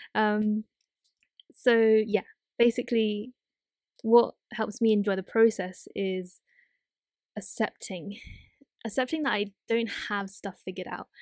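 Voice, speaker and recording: A woman speaks fairly slowly at a fairly high pitch, with long, frequent pauses. The recording is very clean and the background silent. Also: fairly even intonation, dry, close sound with no echo. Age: 20s. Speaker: podcast host; student. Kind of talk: casual solo monologue. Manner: rambling, hesitant with fillers.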